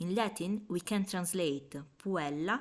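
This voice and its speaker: A woman with an Italian accent speaks very slowly in a very clean recording with a silent background. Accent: Italian accent, noticeable. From Italy. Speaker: language teacher. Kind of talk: tutorial.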